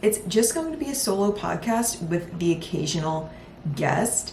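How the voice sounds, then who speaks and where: A woman with an American accent sounds animated, her intonation lively. Audible room echo and noticeable background noise are present. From Philadelphia, US. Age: 20s. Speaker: podcast host and lifestyle content creator. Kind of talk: casual solo podcast talk. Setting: home recording with improvised mic setup. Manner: chatty, animated.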